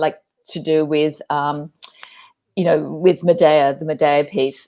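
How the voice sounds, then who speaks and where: On a very clean recording with a silent background, a woman speaks with an Australian accent. Her dark, mellow tone moves at a moderate pace. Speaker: performance artist, theatre director. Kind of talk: live interview. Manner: passionate, animated.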